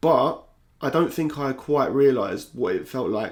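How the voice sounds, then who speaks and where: This man talks at a fairly slow pace, and his pitch varies in an ordinary way. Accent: South London. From South London. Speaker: YouTuber and football podcaster. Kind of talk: personal vlog monologue. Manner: casual, candid.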